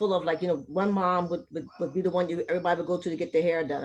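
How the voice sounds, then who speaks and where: Through noticeable background noise, a woman talks very fast at a fairly low pitch with fairly even intonation. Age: 60s. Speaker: community member. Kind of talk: casual chat.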